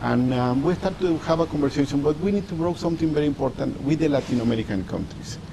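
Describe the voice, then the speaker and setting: Over noticeable background noise, a man with a Mexican accent talks at a very fast pace with hardly any pauses, his fairly high pitch varying in an ordinary way and his loudness very even. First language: Spanish. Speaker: diplomat. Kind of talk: interview. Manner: halting.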